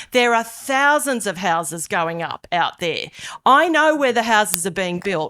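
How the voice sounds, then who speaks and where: Speaking in an Australian accent at a moderate pace, a woman uses a medium pitch, a bright, sharp tone and very wide pitch swings. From Australia, Hunter region NSW. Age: 50s. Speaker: politician. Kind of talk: public meeting speech. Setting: public meeting hall with audience.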